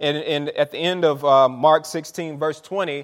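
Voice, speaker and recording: A man speaks with an American accent at a moderate pace. His tone is animated. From Saint Petersburg, Florida. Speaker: pastor. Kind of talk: sermon, preacher in full flow, call-and-response with congregation. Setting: church with congregation. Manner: animated, exuberant, fervent, rhythmic repetition.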